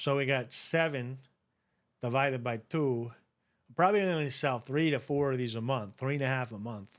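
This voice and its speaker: A man with a New England accent at a moderate pace, on a very clean recording with a silent background. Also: medium pitch for a man, ordinary pitch variation. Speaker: online seller and video creator. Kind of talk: screen-share tutorial. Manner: casual, repetitive with verbal restarts.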